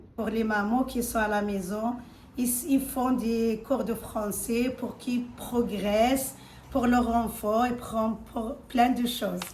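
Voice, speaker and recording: A woman speaks at a very slow pace in a fairly high pitch, with a non-native accent. Her intonation is monotone and flat, and the room echo is audible. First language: not French (speaking French). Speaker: adult French learner, mother. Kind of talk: testimony.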